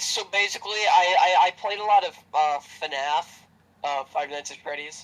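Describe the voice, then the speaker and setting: With noticeable background noise behind him, a man talks at a moderate pace and high pitch, showing ordinary pitch variation and big swings in loudness. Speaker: YouTuber and streamer. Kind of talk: casual chat. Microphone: voice usually too quiet on recordings.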